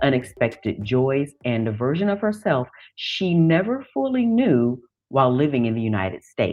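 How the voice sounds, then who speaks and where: A woman speaks at a fairly slow pace in a very deep, low pitch. Music plays in the background. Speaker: podcast host. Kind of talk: episode intro narration.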